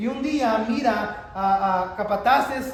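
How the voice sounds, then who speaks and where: Audible room echo and noticeable background noise surround a man with a high pitch and ordinary pitch variation. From Texas. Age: 40s. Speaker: pastor. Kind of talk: sermon. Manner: halting.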